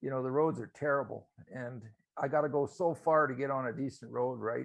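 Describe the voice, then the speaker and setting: Speaking fairly quickly, a man uses an unremarkable speaking voice at a medium pitch with fairly even intonation. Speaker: biker meetup host. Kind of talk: casual chat. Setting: video call.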